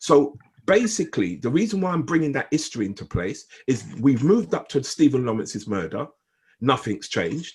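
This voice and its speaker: A man talks at a fairly quick pace and a fairly high pitch, with very wide pitch swings. Vocal fry shows up in his voice on a very clean recording with a silent background. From Jamaica. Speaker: gang intervention consultant. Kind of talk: group discussion statement. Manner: repetitive stammering; emphatic.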